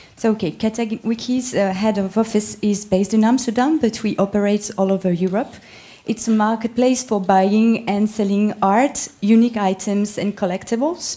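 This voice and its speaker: With a French accent and a dark, mellow tone, a woman speaks at a moderate pace and a fairly high pitch, with fairly even intonation and very even loudness. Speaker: art marketplace manager. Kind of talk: panel presentation. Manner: halting, many fillers.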